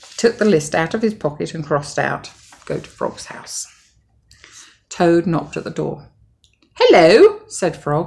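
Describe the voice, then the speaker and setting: A woman in a British accent, long, frequent pauses and big swings in loudness. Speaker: mother. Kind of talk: bedtime story.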